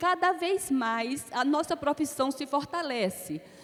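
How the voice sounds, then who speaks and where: Very slowly, a woman speaks in an Alagoas accent with a high pitch. Her intonation is lively. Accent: Alagoas (northeastern Brazilian). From Brazil, Alagoas. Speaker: accounting academy president, panelist. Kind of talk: conference talk.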